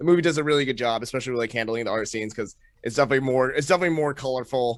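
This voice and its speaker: A man speaks with an American accent. His pitch is medium, with ordinary pitch variation. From Maine, US (rural). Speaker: comedian. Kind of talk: casual chat. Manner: fast, many fillers and restarts.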